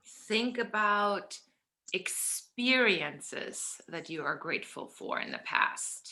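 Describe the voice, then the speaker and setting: This woman's tone is bright and sharp. Her pitch varies in an ordinary way. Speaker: workshop facilitator. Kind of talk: guided group workshop. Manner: loud; animated.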